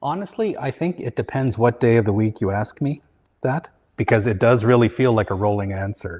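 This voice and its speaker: A man with a Canadian accent speaks at a fairly quick pace against a quiet background. He has a plain, everyday voice, medium pitch and ordinary pitch variation. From Canada (Vancouver). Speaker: materials designer, company founder. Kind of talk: interview.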